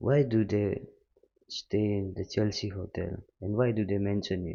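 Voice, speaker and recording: A man's fairly low-pitched voice with a non-native accent, a moderate pace and fairly even intonation. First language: not English. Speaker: music reaction youtuber. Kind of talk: casual reaction commentary.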